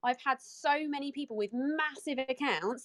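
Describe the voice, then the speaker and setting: A woman with a British accent speaks at a high pitch in an animated tone, the sound dry and close with no echo. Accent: non-American, British. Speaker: entrepreneur. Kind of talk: casual chat. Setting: audio chat room.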